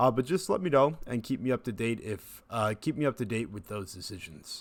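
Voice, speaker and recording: Lively in intonation, a man with an ordinary speaking voice talks at a medium pitch and a fairly quick pace. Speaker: instructor. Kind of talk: tutorial.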